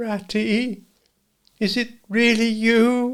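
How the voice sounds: A man puts on a character voice pitched extremely high, delivered in a monotone, flat intonation.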